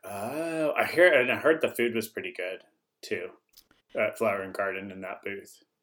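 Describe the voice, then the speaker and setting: Delivered at a moderate pace, the speech has big swings in loudness. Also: man. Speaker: co-host. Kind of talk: casual family chat.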